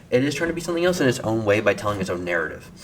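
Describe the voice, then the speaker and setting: Noticeable background noise runs behind the speaker. He is a man whose pitch swings very widely. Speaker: gaming commentary youtuber. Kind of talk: casual game commentary.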